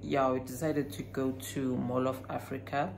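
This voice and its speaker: Over light background noise, a woman speaks at a fairly slow pace in a very deep, low pitch. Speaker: vlogger. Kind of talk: casual vlog chat. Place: home room. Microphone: phone near.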